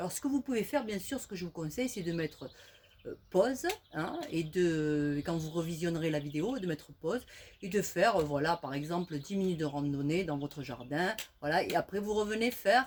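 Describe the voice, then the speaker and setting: A woman speaks in a normal speaking voice with a fairly low pitch. Her intonation is lively and her pace moderate. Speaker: fitness instructor. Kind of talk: exercise tutorial.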